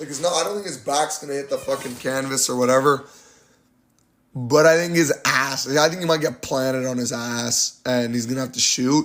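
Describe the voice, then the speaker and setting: At a fairly quick pace, a man speaks in a plain, everyday voice, fairly high in pitch, with fairly even intonation. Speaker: MMA YouTuber giving fight predictions. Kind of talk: casual fight breakdown monologue.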